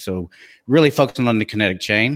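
In a slight Texas accent, a man at medium pitch speaks at a fairly quick pace on a very clean recording with a silent background. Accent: slight Texas twang. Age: 50s. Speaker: fitness trainer and podcast co-host. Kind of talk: casual chat.

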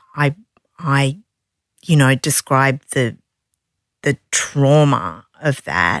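A woman's very deep, low voice in an Australian accent, at a very slow pace, with a dry, close sound with no echo and a very clean recording with a silent background. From Australia, Sydney. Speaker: non-fiction publisher and author. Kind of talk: interview conversation.

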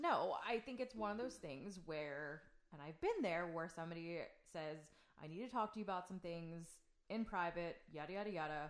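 A woman with an ordinary speaking voice talks at a moderate pace, fairly low in pitch and with ordinary pitch variation. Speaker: host's wife. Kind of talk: casual conversation.

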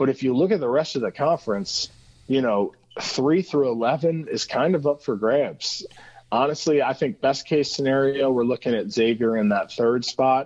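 With a Midwestern US accent, a man speaks at medium pitch and a moderate pace, his loudness very even and his pitch varying in an ordinary way. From Cincinnati, Ohio. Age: 30s. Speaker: sports journalist. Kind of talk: casual interview. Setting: phone call.

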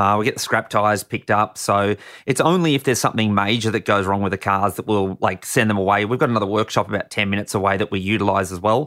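The tone is bright and sharp, in an Australian accent, with ordinary pitch variation at a very fast pace. The recording is very clean, with a silent background. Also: man. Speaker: racing driver and stunt driver. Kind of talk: casual interview. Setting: studio.

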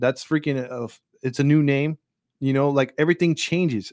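On a very clean recording with a silent background, a man with a plain, everyday voice speaks at a fairly high pitch and moderate pace, the sound dry and close with no echo. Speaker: podcast host. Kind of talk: angry rant, heated and indignant, venting about government, media and covid; casual live podcast rant. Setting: live stream on a podcast platform. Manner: fired-up, indignant, rambling with frequent fillers.

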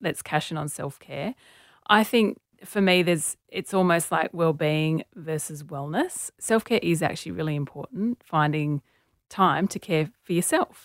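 In an Australian accent, a woman with a fairly low pitch speaks at a fairly slow pace with ordinary pitch variation. The recording is very clean, with a silent background and a dry, close sound with no echo. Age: 40s. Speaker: author and journalist. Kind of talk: interview.

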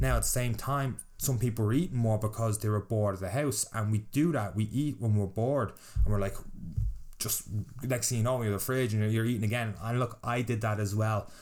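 A man's fairly low pitch, ordinary pitch variation and fairly quick pace. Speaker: fitness podcast host and boot camp trainer. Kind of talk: casual solo podcast monologue. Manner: fast; loud.

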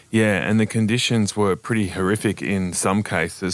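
A man with an Australian accent, a fairly low pitch and ordinary pitch variation, talking at a moderate pace against a quiet background. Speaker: podcast host. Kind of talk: casual news chat.

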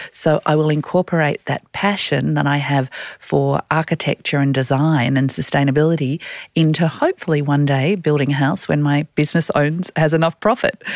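A woman with an Australian accent speaks in a very deep, low voice at a moderate pace, with fairly even intonation and very even loudness, the sound dry and close with no echo on a very clean recording with a silent background. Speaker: executive and career coach, podcast co-host. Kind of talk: casual chat. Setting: studio.

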